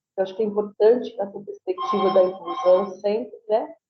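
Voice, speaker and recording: A woman talks with fairly even intonation. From southern Brazil, Florianópolis, Santa Catarina. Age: 60s. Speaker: lecturer and researcher. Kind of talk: lecture. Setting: video call.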